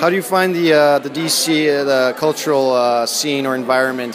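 With an American accent and fairly even intonation, the speaker talks at a moderate pace over noticeable background noise and audible room echo. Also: man. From Washington, D.C. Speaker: podcast host. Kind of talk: casual on-location interviews. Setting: outdoors walking, then arts center event.

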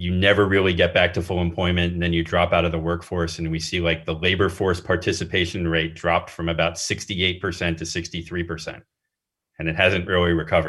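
Very fast and monotone, a man delivers his words in a flat, very deep, low voice. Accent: American. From US Northeast, small-town Pennsylvania. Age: 40s. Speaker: political science professor. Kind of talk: interview. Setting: remote recording. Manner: casual, filler-heavy.

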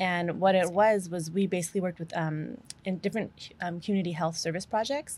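A woman with an American accent uses a normal speaking voice, fairly low in pitch, at a fairly quick pace with fairly even intonation. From New Mexico, US. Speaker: animal welfare nonprofit worker. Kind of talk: casual interview.

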